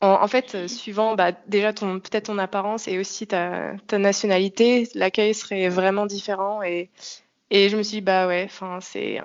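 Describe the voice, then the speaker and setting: A woman speaks at a moderate pace in a medium-pitched voice with monotone, flat intonation. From France. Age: 20s. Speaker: expatriate interviewee. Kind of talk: podcast interview testimony. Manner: hesitant, many fillers.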